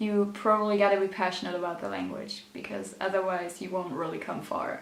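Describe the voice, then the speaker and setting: A woman speaks at a moderate pace with a German accent, over noticeable background noise and with audible room echo. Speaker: youtuber, teacher in training. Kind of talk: casual vlog tips. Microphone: bad audio quality, mic battery dead.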